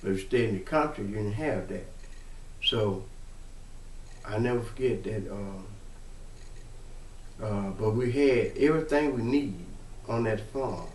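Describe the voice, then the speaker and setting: Speaking at a fairly slow pace with long, frequent pauses, a man uses a medium, somewhat breathy voice with ordinary pitch variation, and audible room echo. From US South, Mississippi. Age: 60s. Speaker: family storyteller. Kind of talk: personal testimony. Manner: halting.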